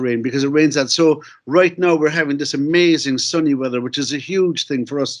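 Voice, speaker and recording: A fairly high-pitched man with a Cork accent, at a fairly quick pace, with fairly even intonation. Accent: Cork Irish. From Ireland, Cork City. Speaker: novelist and filmmaker. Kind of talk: conference talk. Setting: video call. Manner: fast; halting.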